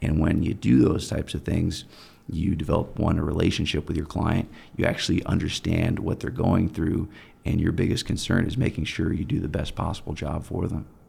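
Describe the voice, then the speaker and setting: Speaking at a fairly quick pace, a man has a very deep, low pitch, a dark, mellow tone, vocal fry and lively intonation. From Germany, US military family. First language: German. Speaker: personal injury attorney. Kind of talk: interview.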